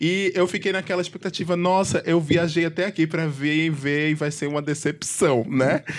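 This man has an unremarkable speaking voice, fairly high in pitch, delivered at a moderate pace with fairly even intonation and hardly any pauses. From Pernambuco, Brazil. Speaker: podcast host. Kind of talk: casual chat.

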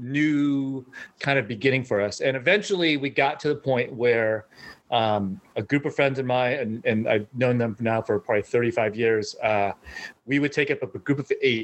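At a moderate pace, a man talks in a normal speaking voice at medium pitch. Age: 50s. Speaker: golfer. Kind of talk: casual chat.

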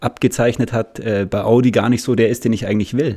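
A man talks fairly quickly at a medium pitch in an unremarkable speaking voice. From Munich, Bavaria. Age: 30s. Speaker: salesperson. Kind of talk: casual interview.

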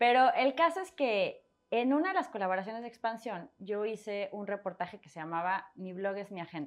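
An ordinary speaking voice moves at a moderate pace with lively intonation, big swings in loudness and hardly any pauses. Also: woman, fairly high pitch for a woman. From Mexico City, part in Torreón, Coahuila. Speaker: personal finance author and blogger. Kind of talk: interview conversation.

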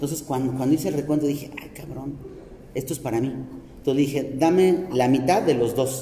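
Speaking at a fairly quick pace, a man with a fairly high pitch keeps his intonation fairly even, with noticeable background noise and audible room echo. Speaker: podcast host and ice cream/chocolate business owner. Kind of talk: casual chat. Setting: shopping mall.

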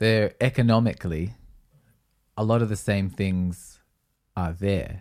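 In a very clean recording with a silent background, a man with an Australian accent talks at a fairly slow pace with long, frequent pauses, his fairly low pitch showing ordinary variation. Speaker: podcast co-host and musician. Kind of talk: casual chat. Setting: live-streamed video recorded at home.

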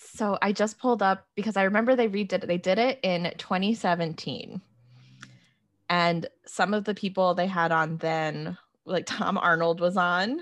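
A woman with an unremarkable speaking voice talks at a medium pitch and moderate pace, with ordinary pitch variation and very even loudness, over a quiet background. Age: 30s. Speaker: pop culture writer. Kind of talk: casual chat.

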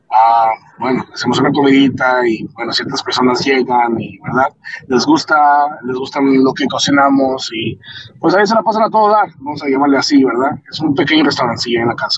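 Against noticeable background noise, a fairly high-pitched man talks at a fairly quick pace with ordinary pitch variation. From Michoacán, Mexico. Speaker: podcast host, electrician. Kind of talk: casual monologue. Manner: halting.

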